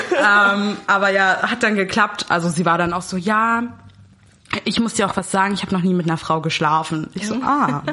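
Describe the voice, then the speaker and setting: Speaking at a moderate pace, a woman with a medium pitch and ordinary pitch variation is heard over noticeable background noise. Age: 20s. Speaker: student. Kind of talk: casual chat.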